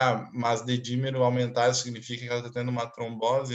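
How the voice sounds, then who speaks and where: A man's pitch sits at a medium level. He talks at a moderate pace. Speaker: doctor teaching a clinical case class. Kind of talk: online lecture.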